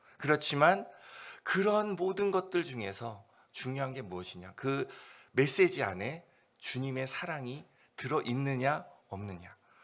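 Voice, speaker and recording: With long, frequent pauses, a man of fairly high pitch speaks with very wide pitch swings and big swings in loudness. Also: fairly slow pace. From South Korea. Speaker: missionary. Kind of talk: sermon. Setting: church service. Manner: unscripted, conversational.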